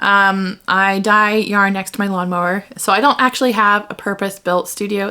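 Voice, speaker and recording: A woman speaks at medium pitch with a bright, sharp tone. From United States. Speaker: yarn dyer and craft podcaster. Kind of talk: casual video podcast intro. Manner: chatty, with many fillers.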